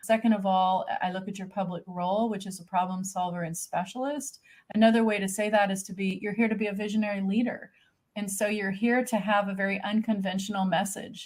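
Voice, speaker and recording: In a somewhat breathy voice, a woman talks fairly quickly. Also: medium pitch for a woman. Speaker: podcast host and chart reader. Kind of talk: personal chart reading in interview. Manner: fast; animated.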